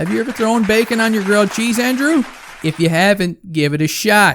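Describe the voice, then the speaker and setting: A man's high-pitched voice. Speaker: hockey fan YouTuber. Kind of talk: casual Q and A chat. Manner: animated.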